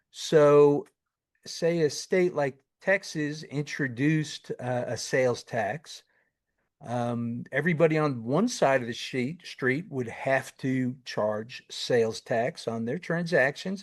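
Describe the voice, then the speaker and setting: A man with a slight New York accent at a very slow pace, with ordinary pitch variation against a quiet background. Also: fairly high pitch for a man. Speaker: tax consulting firm founder, podcast co-host. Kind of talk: educational podcast. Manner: casual, many fillers.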